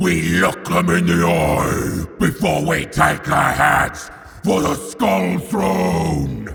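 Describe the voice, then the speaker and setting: A man puts on a rumbling character voice. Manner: furious shouting.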